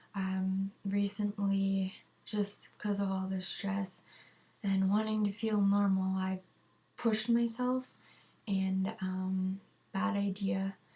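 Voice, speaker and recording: Speech comes at a very slow pace with long, frequent pauses, against noticeable background noise. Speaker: vlogger sharing medication withdrawal update. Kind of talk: personal video diary. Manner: hesitant, many fillers.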